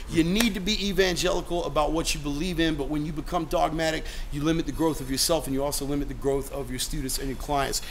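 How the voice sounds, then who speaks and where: Very fast and with ordinary pitch variation, a man speaks while light noise plays in the background. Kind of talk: casual gym tour talk. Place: gym. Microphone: phone near.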